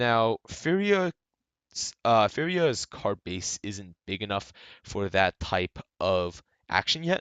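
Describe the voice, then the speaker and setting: Speaking at a very slow pace with long, frequent pauses, a man uses a fairly low pitch. His pitch swings very widely. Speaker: gaming YouTuber. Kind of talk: casual commentary video. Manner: stammering, halting; many filler words.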